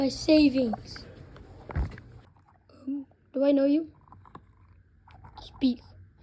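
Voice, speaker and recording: A cartoonish, female-sounding character voice at a high pitch, at a very slow pace with long, frequent pauses. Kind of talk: casual talk to camera. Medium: puppet.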